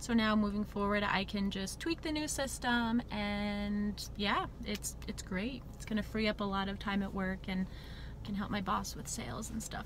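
Her voice dry with no echo, a woman talks at a moderate pace over light background noise. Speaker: vlogger. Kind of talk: casual vlog chat. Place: car. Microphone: phone near.

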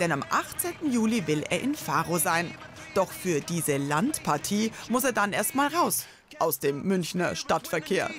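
Music sounds in the background. The speaker's delivery is fairly slow. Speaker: news reporter. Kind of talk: TV news narration.

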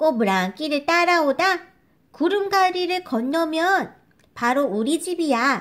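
Using a put-on character voice pitched extremely high, a woman speaks at a fairly slow pace. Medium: read story.

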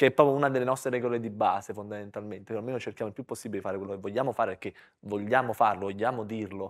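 A man's very fast, fairly low-pitched voice with fairly even intonation and big swings in loudness, over a quiet background. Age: 30s. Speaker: comedian. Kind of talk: live podcast chat. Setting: stage with audience. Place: studio. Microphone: lapel.

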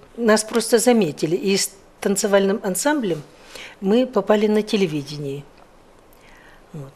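A woman with a dark, mellow tone speaks at a moderate pace with lively intonation, big swings in loudness and long, frequent pauses. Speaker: former television announcer. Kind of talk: interview answer. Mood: warm, nostalgic. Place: studio. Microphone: lapel.

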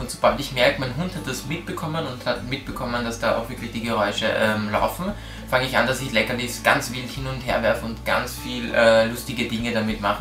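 Over clear music in the background, a man talks at a fairly quick pace. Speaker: dog trainer. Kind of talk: tutorial. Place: home room.

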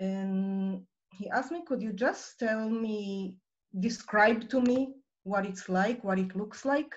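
In an Israeli accent, a somewhat breathy woman speaks at a very slow pace with ordinary pitch variation. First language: Hebrew. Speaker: nonprofit director; guest. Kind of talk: personal story in online presentation. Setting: video call. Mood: calm, earnest. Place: home room. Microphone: video call.

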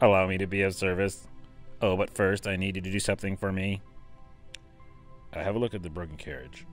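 Over clear background music, a man puts on a character voice that is raspy and very deep and low, rattling along at a very fast pace. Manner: polite, servile.

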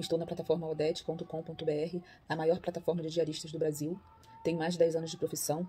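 With music in the background, a woman rushes along at a very fast pace, her fairly low voice monotone and flat. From Rio de Janeiro, Brazil. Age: 50s. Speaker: house cleaner. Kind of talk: self-introduction to camera. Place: home room. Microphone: phone near.

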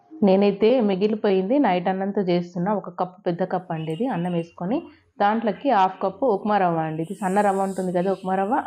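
A woman with a dark, mellow tone talks at a medium pitch with ordinary pitch variation against a quiet background. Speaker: cooking vlogger. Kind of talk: cooking tutorial.

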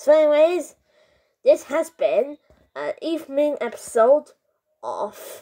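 A man puts on a cartoonish character voice and speaks at a very slow pace. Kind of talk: comedy bit, jokes to camera. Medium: puppet.

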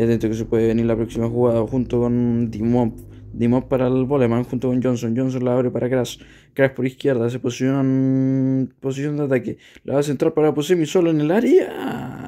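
The voice has a dark, mellow tone, moves at a fairly quick pace and keeps a fairly even intonation. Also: man, medium pitch for a man. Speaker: live match commentator and gaming video creator. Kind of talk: live sports commentary over a Top Eleven match.

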